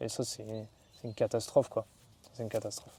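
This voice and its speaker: This man's voice has a dark, mellow tone. The sound is dry and close, with no echo. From northern France, Valenciennes area. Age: 30s. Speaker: traveller and adventurer. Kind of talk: interview. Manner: casual, hesitant with many fillers.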